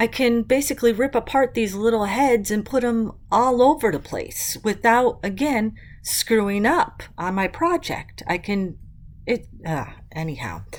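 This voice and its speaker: A woman's fairly high voice moves at a fairly slow pace with lively intonation, captured in a very clean recording against a silent background. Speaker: mixed media art tutorial youtuber. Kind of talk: craft tutorial. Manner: animated.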